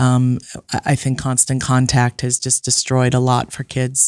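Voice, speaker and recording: In a dry sound with no echo and a quiet background, a woman speaks at a moderate pace in a very deep, low pitch. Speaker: family counselor and author; guest. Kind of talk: casual chat. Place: studio. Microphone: studio mic.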